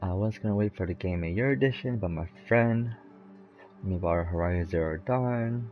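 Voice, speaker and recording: Music plays behind a man speaking quietly at a moderate pace. His voice sits fairly low, with ordinary pitch variation. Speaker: gaming streamer. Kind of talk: casual gameplay commentary. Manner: quiet, low and mellow.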